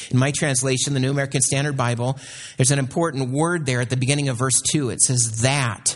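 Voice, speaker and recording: Somewhat breathy, a man talks at a medium pitch. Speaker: missionary. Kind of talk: sermon; fervent prayer. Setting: church. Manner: fervent, earnest prayerful tone.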